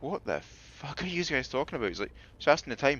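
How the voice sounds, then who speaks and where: This is a man speaking with a Scottish accent. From Scotland (Falkirk area). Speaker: gaming streamer. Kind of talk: casual chat.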